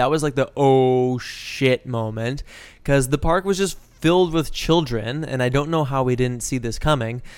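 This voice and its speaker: With a Canadian accent, a man speaks in a plain, everyday voice at a fairly high pitch, using ordinary pitch variation and a moderate pace. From Calgary, Alberta (moved from Toronto at twelve). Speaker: podcast co-host and actor/improviser. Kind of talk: casual chat.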